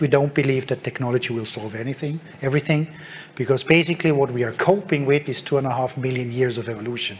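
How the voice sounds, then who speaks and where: Over noticeable background noise, a man speaks at a very fast pace and medium pitch with ordinary pitch variation. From Germany. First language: German. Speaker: tech company speaker. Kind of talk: conference talk. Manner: hesitant with fillers.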